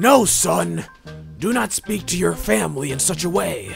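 With clear music in the background, a man uses a put-on character voice at a fairly high pitch and a moderate pace. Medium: audio drama. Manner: warm, theatrical.

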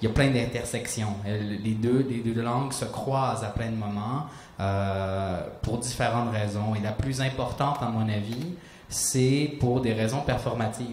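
At a moderate pace and with few pauses, the voice has fairly even intonation and a slightly mellow tone, with audible room echo. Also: man, fairly low pitch for a man.

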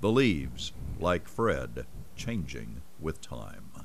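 With vocal fry, a man speaks at a very deep, low pitch that swings very widely. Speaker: TV reporter. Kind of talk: TV feature narration.

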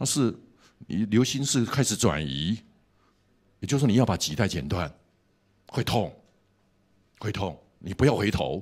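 Vocal fry runs through a man's voice as his pitch swings very widely. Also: quiet background. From Taiwan. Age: 60s. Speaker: pastor and seminary professor; pastor, seminary professor. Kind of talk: sermon. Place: hall. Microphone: handheld.

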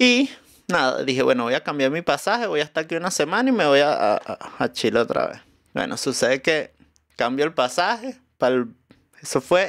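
Against a quiet background, a man with fairly high pitch speaks at a moderate pace, his pitch swinging very widely. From Venezuela, Caracas. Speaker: musician and comedian; comedian. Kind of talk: casual chat. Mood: cheerful, animated storytelling. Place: studio. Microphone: studio mic.

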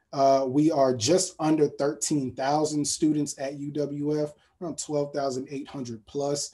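A man with an American accent speaks in a fairly high voice with a dark, mellow tone. His intonation is monotone and flat, and the background is quiet. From South Florida. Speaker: college admissions representative. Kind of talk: virtual college fair presentation. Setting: video webinar. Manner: halting, many fillers.

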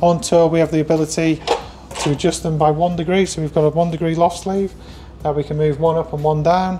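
At a fairly quick pace, the voice runs in a monotone, flat intonation over light background noise. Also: man. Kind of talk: guided tour explanation. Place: workshop. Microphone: lapel.

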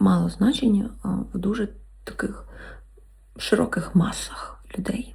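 Noticeable background noise is present throughout. Speech goes very slowly, broken by long, frequent pauses. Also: woman. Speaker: ASMR creator. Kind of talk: casual talk to camera, answering viewer questions. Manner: whispered, soft-spoken.

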